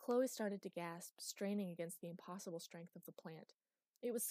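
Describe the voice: The background is quiet during plain reading aloud that has ordinary pitch variation.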